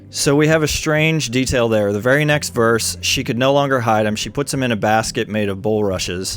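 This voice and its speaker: A normal speaking voice from a man at a medium pitch, fairly quick in pace with hardly any pauses and ordinary pitch variation. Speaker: Bible teacher. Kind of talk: casual chat.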